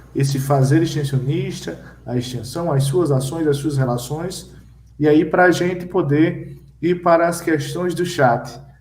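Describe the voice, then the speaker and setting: Audible room echo surrounds a man's voice. He speaks at a fairly slow pace with ordinary pitch variation. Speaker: live-stream moderator. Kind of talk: panel discussion.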